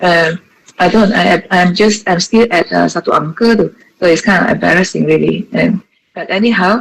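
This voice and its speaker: A woman at medium pitch, moderate in pace, with fairly even intonation. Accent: Malaysian. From Malaysia, Johor. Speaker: associate professor. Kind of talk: webinar talk. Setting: video call.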